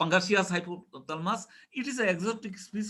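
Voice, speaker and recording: A man talks at a fairly quick pace in a raised, projected voice. His intonation stays fairly even. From Bangladesh. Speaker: fisheries scientist. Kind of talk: conference presentation. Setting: web conference. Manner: halting, many fillers.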